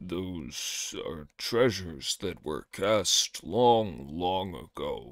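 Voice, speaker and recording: Putting on a raspy character voice, a man speaks very slowly at a very deep, low pitch, with hardly any pauses. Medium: read story.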